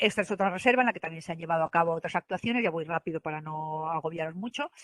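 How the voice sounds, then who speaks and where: Her voice fairly low in pitch, a woman speaks at a very fast pace. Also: ordinary pitch variation. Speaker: government environmental specialist presenting. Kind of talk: online presentation; Q&A answer. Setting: online event. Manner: hesitant with many fillers.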